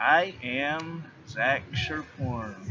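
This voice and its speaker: With music in the background and audible room echo, a man speaks with ordinary pitch variation. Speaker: comedian. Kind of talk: casual chat. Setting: outdoors.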